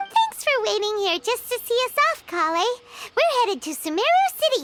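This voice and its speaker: A squeaky, put-on character voice at an extremely high pitch. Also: moderate pace. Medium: video game. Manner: bubbly, chatty.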